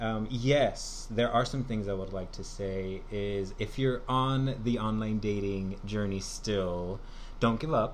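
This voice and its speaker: Speaking very slowly, a man with an American accent keeps a fairly low pitch and fairly even intonation. Room echo is audible. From Southern California. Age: 20s. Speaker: podcast guest. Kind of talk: casual chat.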